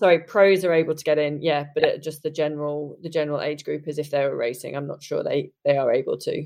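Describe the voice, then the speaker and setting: This woman speaks with a British accent at a very fast pace. She hardly pauses at all. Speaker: triathlon guide and pro triathlete. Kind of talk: casual chat. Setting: remote call from Japan.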